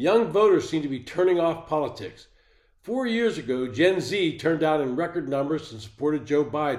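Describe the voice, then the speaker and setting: Using a plain, everyday voice, a man talks at a moderate pace with a fairly high pitch and lively intonation. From western Pennsylvania, near Pittsburgh. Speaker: political commentary podcaster. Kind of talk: solo political commentary monologue. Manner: measured, read-from-script delivery.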